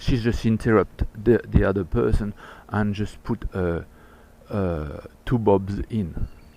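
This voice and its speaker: A man speaks with a French accent. His pitch sits fairly low. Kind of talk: personal video message. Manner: halting.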